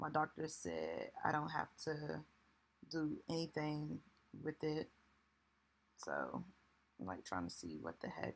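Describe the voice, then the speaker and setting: A woman is speaking. Her voice is quiet. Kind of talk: casual vlog talk to camera. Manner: speaking low, quiet.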